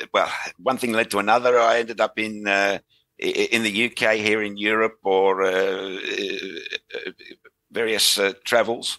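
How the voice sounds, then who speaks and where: With an Australian accent, the speaker talks very slowly in a bright, sharp tone. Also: man. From Western Australia (Perth/Fremantle). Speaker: rail industry consultant. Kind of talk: podcast interview. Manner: halting, many fillers and restarts.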